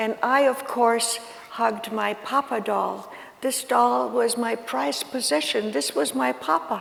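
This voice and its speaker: Over noticeable background noise and audible room echo, a woman speaks fairly slowly in a fairly high voice with lively intonation. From Ukraine. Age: 80s+. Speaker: Holocaust survivor speaker. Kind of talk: talk to students. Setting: school auditorium with audience. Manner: halting.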